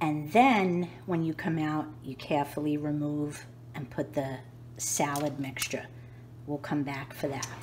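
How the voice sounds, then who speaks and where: A somewhat breathy woman with a New York accent, at a fairly slow pace and a very deep, low pitch. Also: ordinary pitch variation. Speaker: home cooking youtuber. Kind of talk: cooking tutorial. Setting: home kitchen. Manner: casual, chatty.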